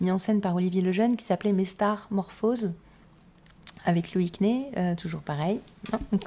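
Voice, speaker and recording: Speaking at a fairly quick pace yet with long, frequent pauses, a woman keeps a medium pitch and fairly even intonation. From Corsica (Cap Corse), half Sicilian. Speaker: singer and star impersonator. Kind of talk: radio interview.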